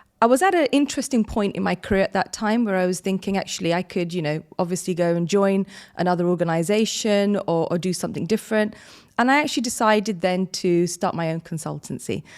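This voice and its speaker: Very fast speech from a woman with a British accent, medium in pitch, on a very clean recording with a silent background. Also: ordinary pitch variation. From London, England. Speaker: business consultant. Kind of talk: interview. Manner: hesitant, many fillers.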